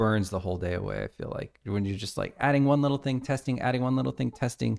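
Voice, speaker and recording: A man with an American accent speaks in an unremarkable speaking voice, at medium pitch, with ordinary pitch variation. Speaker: indie game developer streaming his work. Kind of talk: live-stream work commentary. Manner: casual, talking to himself while working.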